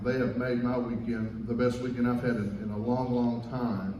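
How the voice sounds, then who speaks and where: There is audible room echo as a man with a Southern Kentucky accent speaks at a medium pitch. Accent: Southern Kentucky accent, noticeable. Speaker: guest band conductor and music teacher. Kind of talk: concert stage remarks to audience. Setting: concert stage with audience.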